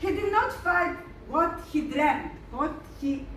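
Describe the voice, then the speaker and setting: A woman with a Greek accent speaks in an extremely high pitch amid noticeable background noise and audible room echo. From Greece. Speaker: lecturer. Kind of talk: lecture. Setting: museum hall with audience. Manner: halting.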